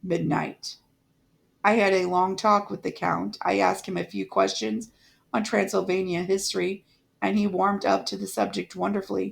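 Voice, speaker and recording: A woman's raspy put-on character voice, fairly low in pitch, at a moderate pace on a very clean recording with a silent background. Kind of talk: gothic audiobook reading. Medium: read story. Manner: measured, reflective.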